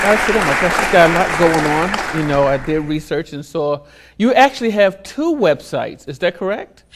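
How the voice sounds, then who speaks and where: A man with a high pitch speaks fairly quickly, his intonation lively. Crowd noise can be heard behind him. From US Northeast, Philadelphia. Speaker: talk show host. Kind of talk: interview. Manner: animated.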